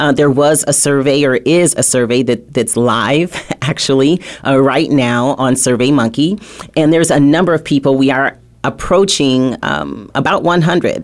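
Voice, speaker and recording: A woman's very deep, low voice at a fairly slow pace, with ordinary pitch variation, very even loudness and noticeable background noise. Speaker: radio talk show host. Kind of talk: talk radio interview.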